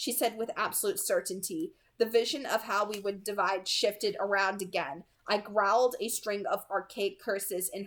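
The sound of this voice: With lively intonation, the speaker reads in an unforced reading voice.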